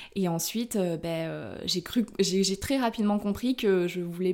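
A woman's medium-pitched voice with a dark, mellow tone at a moderate pace. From France, Corrèze (Brive-la-Gaillarde). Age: 30s. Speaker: illustrator. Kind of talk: casual interview. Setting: home studio.

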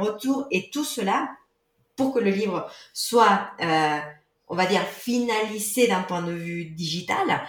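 Audible room echo surrounds this recording. A woman with a non-native accent speaks at a medium pitch. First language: not French (speaking French). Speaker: author of a yoga book. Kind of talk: casual interview.

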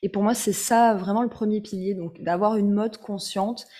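At a moderate pace, a woman speaks in an ordinary speaking voice with a medium pitch and fairly even intonation. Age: 30s. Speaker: fashion blogger and author. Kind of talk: interview.

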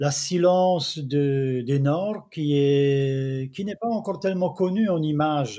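Speaking very slowly with hardly any pauses, a man with a Czech accent has a dark, mellow tone, fairly high pitch and ordinary pitch variation. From Czech Republic. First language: Czech (speaking French). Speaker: travel photographer. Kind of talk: interview. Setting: video call.

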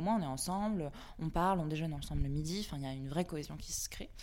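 A woman with a dark, mellow tone talks at a very fast pace with lively intonation. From Brittany, France (Vannes). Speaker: freelance art director. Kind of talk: interview.

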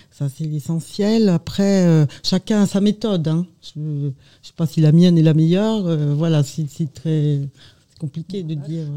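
A woman with a slight Burgundy accent speaks at a fairly slow pace in a dark, mellow tone, her pitch fairly low with ordinary variation. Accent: slight Burgundy accent, stressed A sounds. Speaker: amateur actress. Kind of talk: radio interview.

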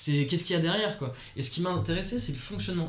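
A man speaks with lively intonation. Audible room echo and noticeable background noise surround him. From Paris, France. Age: 20s. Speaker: fashion designer. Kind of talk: interview. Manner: halting.

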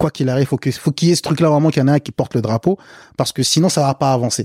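A man's fairly high, somewhat breathy voice, dry and close with no echo, on a very clean recording with a silent background. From Africa, then France from age eight. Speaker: podcast guest. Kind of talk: casual chat. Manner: casual, hesitant with repetitions.

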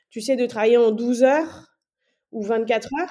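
At a fairly slow pace, a woman speaks in a fairly high voice with a dark, mellow tone and ordinary pitch variation. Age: 30s. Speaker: nurse anesthetist and entrepreneur. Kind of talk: casual interview.

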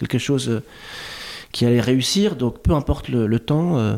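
A man speaks in a medium pitch with ordinary pitch variation. His pace is fairly slow. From Lebanese heritage. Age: 40s. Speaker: digital artist. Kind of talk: casual chat. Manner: slow, reflective; halting with repetitions.

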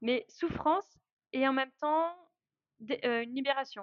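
This is a woman speaking. Her voice is high in pitch. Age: 30s. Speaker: traveler and travel organizer. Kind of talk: casual interview.

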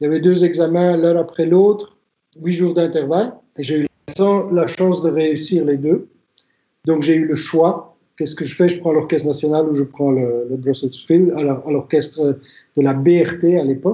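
Fairly even intonation at a fairly slow pace. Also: man, fairly high pitch for a man. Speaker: violinist and violin teacher. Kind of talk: interview testimony. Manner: hesitant, with frequent fillers and restarts.

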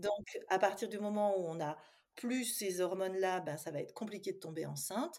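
A woman talks at a moderate pace in a normal speaking voice. Her pitch is medium. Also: ordinary pitch variation. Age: 50s. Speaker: psychologist and dietitian. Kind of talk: interview.

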